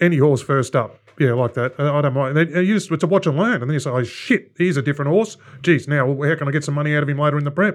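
Over a quiet background, a man with an Australian accent talks very fast at a fairly high pitch, with ordinary pitch variation. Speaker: racing podcast co-host.

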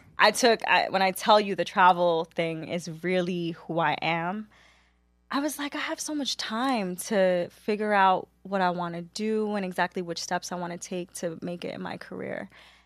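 A woman with a New York accent speaks at a moderate pace and medium pitch, with ordinary pitch variation, on a very clean recording with a silent background. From New York City (Queens), Caribbean household. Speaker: media marketing professional. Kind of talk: casual chat.

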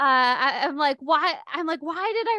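Lively in intonation, a woman with an American accent projects a raised voice with a bright, sharp tone. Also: quiet background. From Michigan, US. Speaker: poet and author. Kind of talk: casual interview. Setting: video call. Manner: laughs often, conversational.

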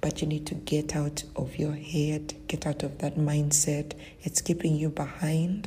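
Over noticeable background noise, a woman with a very deep, low pitch speaks at a fairly slow pace in a monotone, flat intonation. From Uganda. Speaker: virtual assistant business owner. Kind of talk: recorded interview answers.

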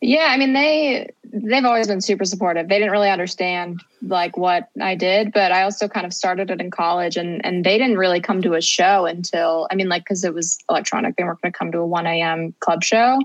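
A woman speaks at a medium pitch with a Midwestern American accent and ordinary pitch variation. Her pace is fairly quick, with hardly any pauses. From US Midwest, Cincinnati, Ohio. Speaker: tour manager. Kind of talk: interview.

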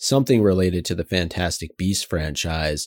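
A man's very deep, low voice with ordinary pitch movement, dry and close with no echo, on a very clean recording over a silent background. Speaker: podcast co-host. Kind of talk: casual chat.

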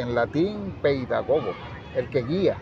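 Crowd noise fills the background. Over it, a man talks at a fairly high pitch. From Venezuela, La Victoria, Aragua. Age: 60s. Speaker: educator and author. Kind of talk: interview. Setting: book fair.

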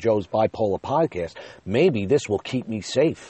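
A man talks with a fairly low pitch and lively intonation. His pace is moderate. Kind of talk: casual solo monologue. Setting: in a car.

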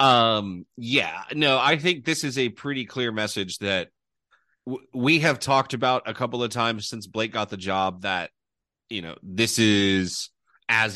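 Against a quiet background, a bright, sharp voice speaks at a fairly slow pace with ordinary pitch variation. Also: man. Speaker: college football podcast host.

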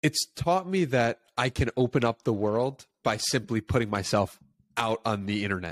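A plain, everyday voice moves at a moderate pace with a dry, close sound and no echo. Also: man, medium pitch for a man, lively intonation. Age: 20s. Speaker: podcast host. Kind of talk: interview.

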